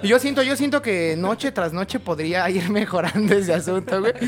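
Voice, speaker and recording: There is noticeable background noise behind this man. He speaks at a high pitch with lively intonation. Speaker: podcast co-host. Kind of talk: casual chat.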